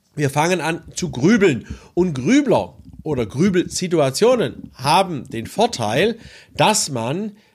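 Speaking at a very slow pace, a man with a high pitch makes very wide pitch swings on a very clean recording with a silent background. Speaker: psychology and leadership coach. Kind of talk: expert explanation in podcast interview.

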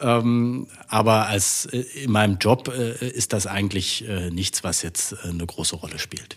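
At a very slow pace, a man talks in a fairly low voice with ordinary pitch variation. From Saxony-Anhalt, Saxon parents. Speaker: politician. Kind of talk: interview.

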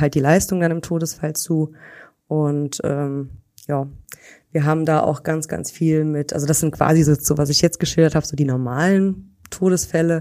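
A woman with a very deep, low pitch speaks in a dark, mellow tone at a moderate pace with fairly even intonation. The recording is very clean with a silent background. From Germany, near Koblenz (Rhineland). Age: 30s. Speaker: insurance employee. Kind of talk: interview. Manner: hesitant, many fillers.

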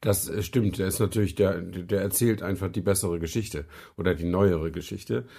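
On a very clean recording with a silent background, a man talks at a moderate pace. His voice is very deep and low, somewhat breathy, with ordinary pitch variation. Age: 50s. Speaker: car podcast co-host. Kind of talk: casual chat.

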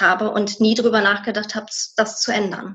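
A woman talks with a plain, everyday voice, pitched fairly high, keeping fairly even intonation at a moderate speed. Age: 30s. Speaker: former tax clerk. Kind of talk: interview.

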